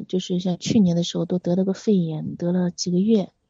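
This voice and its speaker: A woman is talking. Her voice carries some breathiness. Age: 40s. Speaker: caller seeking relationship advice. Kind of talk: phone-in confession. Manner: halting.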